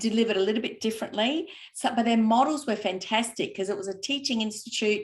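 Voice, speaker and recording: Here a woman speaks at a fairly quick pace. Her pitch is fairly high, with ordinary variation. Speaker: cheese maker and fellowship recipient. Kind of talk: interview. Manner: fast.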